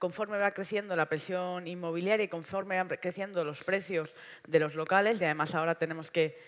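A woman speaks with monotone, flat intonation. The background is quiet. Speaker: panelist. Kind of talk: panel talk. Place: stage. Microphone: headset.

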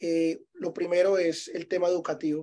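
A man speaks at a fairly slow pace. His voice is high-pitched with a dark, mellow tone. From Medellín, Colombia. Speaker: vacation rental property manager; guest. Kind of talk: webinar presentation. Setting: Zoom webinar. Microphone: video call.

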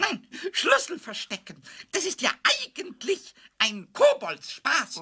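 This put-on character voice sits at an extremely high pitch with very wide swings up and down. It moves at a fairly slow pace. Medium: audio drama. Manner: stammering, repeating words.

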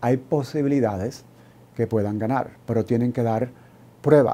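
Here a man speaks with a dark, mellow tone. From Cuba. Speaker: law professor. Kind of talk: educational TV interview.

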